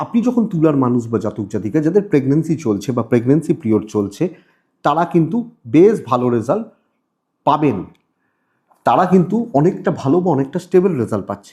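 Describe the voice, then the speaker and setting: Somewhat breathy and dark, mellow in tone, a man's voice moves in very wide pitch swings. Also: fairly high pitch for a man. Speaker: astrologer. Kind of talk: horoscope monologue to camera. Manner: repetitive, restarting phrases.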